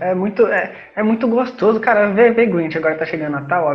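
A man speaks at a moderate pace with lively intonation. There is audible room echo. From Rio de Janeiro state, Brazil. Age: 20s. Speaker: podcast co-host. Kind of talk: casual chat.

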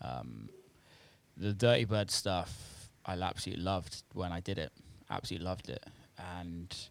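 With a very deep, low voice, a man speaks at a moderate pace, his lively intonation broken by long, frequent pauses. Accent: British. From UK. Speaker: house and techno producer and DJ. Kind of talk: casual interview chat. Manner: hesitant, many fillers.

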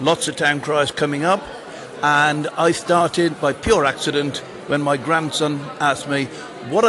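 A fairly high-pitched male voice at a moderate pace, with fairly even intonation and noticeable background noise. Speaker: town crier.

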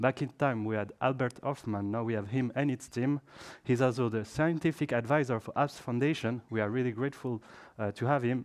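A man with an ordinary speaking voice speaks fairly quickly at medium pitch against a quiet background. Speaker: event moderator. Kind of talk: formal introduction.

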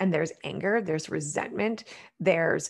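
A woman with a Canadian accent speaks in an unremarkable speaking voice, fairly low-pitched with ordinary pitch variation. The recording is very clean, with a silent background. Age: 40s. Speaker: wellness coach. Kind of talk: interview conversation.

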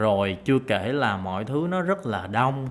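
Man at a medium pitch, speaking at a fairly slow pace. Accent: Southern Vietnamese. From Saigon, southern Vietnam. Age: 30s. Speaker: podcaster. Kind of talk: solo monologue podcast. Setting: home room recording.

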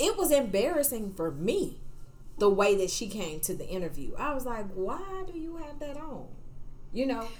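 A woman with an American accent talks at a high pitch with very wide pitch swings. She keeps a moderate pace over noticeable background noise. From outside the US South. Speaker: podcast co-host and program director. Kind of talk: casual chat.

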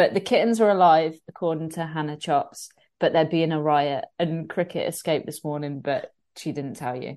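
Against a quiet background, a woman speaks in a dark, mellow tone. Her pitch is very deep and low, with ordinary variation. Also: moderate pace. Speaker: online fitness coach. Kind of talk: casual chat. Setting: live online video.

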